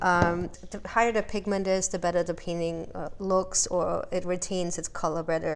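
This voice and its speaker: A woman's medium-pitched voice at a moderate pace with hardly any pauses and audible room echo. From Austria. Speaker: visual artist. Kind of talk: interview with studio tour. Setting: artist studio in a warehouse.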